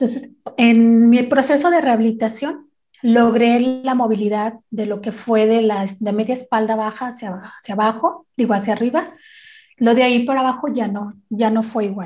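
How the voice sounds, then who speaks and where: Fairly high in pitch with a dark, mellow tone, a woman speaks at a moderate pace with ordinary pitch variation. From Guadalajara, Jalisco, Mexico. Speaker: wheelchair basketball player. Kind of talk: interview.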